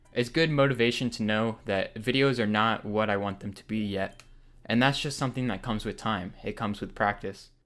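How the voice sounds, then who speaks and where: Over music in the background, a man at medium pitch speaks at a fairly quick pace with fairly even intonation. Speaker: YouTuber. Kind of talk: vlog monologue. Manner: flat.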